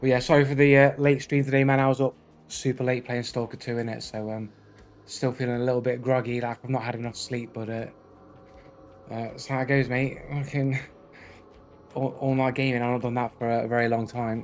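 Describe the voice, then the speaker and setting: A man speaks with a British accent in a flat, monotone delivery at a fairly quick pace. His speech is broken by long, frequent pauses. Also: medium pitch for a man. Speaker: gaming streamer. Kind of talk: live stream chat. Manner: casual, hesitant with fillers.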